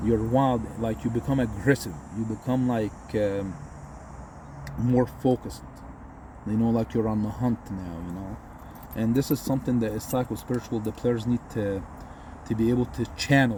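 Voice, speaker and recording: A man with an Egyptian accent speaks at a moderate pace, with long, frequent pauses. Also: medium pitch for a man, ordinary pitch variation. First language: Egyptian Arabic. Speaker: football commentator. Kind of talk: casual commentary. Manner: animated.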